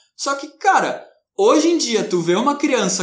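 Audible room echo surrounds a man's voice. He speaks at a moderate pace with very wide pitch swings. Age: 20s. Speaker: podcast co-host. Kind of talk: casual discussion.

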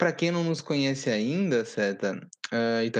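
At a moderate pace, a man speaks in a fairly high voice that swings very widely in pitch. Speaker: podcast co-host, lawyer and startup legal firm founder. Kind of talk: casual chat. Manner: animated.

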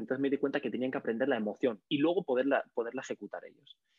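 With ordinary variation in his pitch, a man talks at a medium pitch. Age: 30s. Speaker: communication coach and comedian. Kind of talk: casual interview. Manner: energetic.

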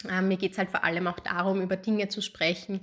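A woman talks at a medium pitch. Her intonation stays monotone and flat. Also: very clean recording, silent background. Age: 30s. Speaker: podcast host, psychologist. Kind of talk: solo podcast introduction. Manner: casual with frequent fillers.

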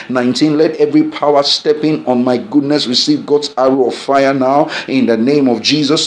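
A man with a Nigerian accent speaks in a fairly high voice and an intense tone, his pitch moving in an ordinary way over noticeable background noise. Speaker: pastor leading prayer. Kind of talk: fervent group prayer led live, imploring and declaring. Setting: online broadcast prayer for people at home. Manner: intense, urgent and exhorting, rising with passion; commanding, repetitive, preacher-like cadence.

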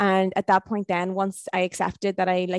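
With a Northern Irish accent, a woman speaks at a medium pitch and a fairly slow pace in a dry, close sound with no echo. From Ireland, County Tyrone. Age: 20s. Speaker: motivational speaker. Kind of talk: casual chat.

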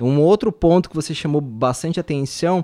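A man with an unremarkable speaking voice, fairly high in pitch with ordinary pitch variation, talks at a moderate pace in a dry, close sound with no echo, on a very clean recording with a silent background. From Brazil. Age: 30s. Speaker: physiotherapist. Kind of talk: casual podcast chat.

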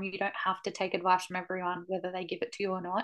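A woman's medium-pitched voice with an Australian accent, monotone and flat, against a quiet background. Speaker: podcast co-host, barrel racer. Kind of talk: casual chat.

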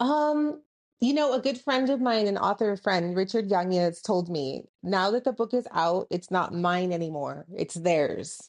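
With an American accent, the speaker talks at a fairly slow pace with very wide pitch swings against a quiet background. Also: woman, medium pitch for a woman. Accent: Texas border Mexican American English. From US-Mexico border, El Paso, Texas. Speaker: author and college professor. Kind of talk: interview.

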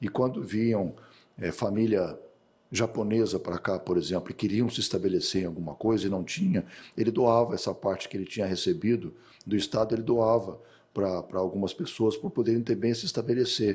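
With an ordinary speaking voice, a man speaks at a fairly quick pace in a medium pitch with lively intonation. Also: very clean recording, silent background. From Brazil, Mato Grosso do Sul. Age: 50s. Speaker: agronomist and rancher. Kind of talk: interview.

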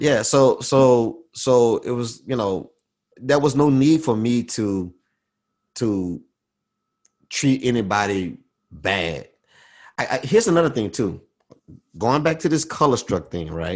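Against a quiet background, a man speaks at a medium pitch and a fairly slow pace. His intonation is lively, and he leaves long, frequent pauses. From US South. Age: 40s. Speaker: podcast guest, aviation worker. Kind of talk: casual chat. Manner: halting, many fillers and repetitions.

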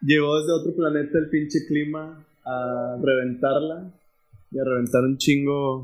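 With music in the background, a man speaks slowly-ish at a fairly slow pace, fairly high in pitch and with fairly even intonation. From Monterrey, Mexico. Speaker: podcast host. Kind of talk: casual chat.

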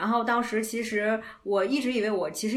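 A woman speaks at a fairly quick pace with a medium pitch. There is noticeable background noise behind her. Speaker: podcast co-host, student. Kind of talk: casual chat.

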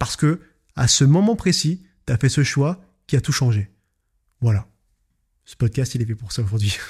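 Speaking at a moderate pace with lively intonation, a man with a medium pitch sounds somewhat breathy and takes long, frequent pauses. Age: 20s. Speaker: podcast host and business owner. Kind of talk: solo podcast monologue. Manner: casual, hesitant with fillers.

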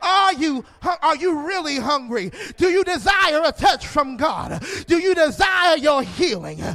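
The voice is raised and projected, animated in tone with lively intonation, at a fairly slow pace. Noticeable background noise runs underneath. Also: man. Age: 30s. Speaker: pastor. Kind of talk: sermon. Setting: church.

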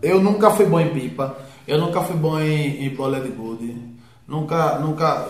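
A man at a fairly high pitch and fairly slow pace with ordinary pitch variation, amid noticeable background noise and audible room echo. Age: 20s. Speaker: friend of host. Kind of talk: casual chat.

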